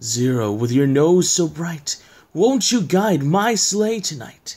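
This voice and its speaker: At a fairly slow pace, a man performs a put-on character voice pitched high. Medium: read story. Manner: theatrical, grandiose.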